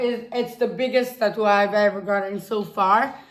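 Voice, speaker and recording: Audible room echo surrounds speech delivered at a fairly slow pace with fairly even intonation. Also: woman. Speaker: YouTuber. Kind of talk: casual vlog talk.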